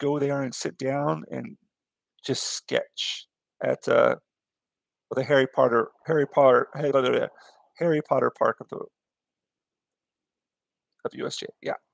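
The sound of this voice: A man speaks in a put-on character voice that sounds hoarse, at a moderate pace, with big swings in loudness and long, frequent pauses.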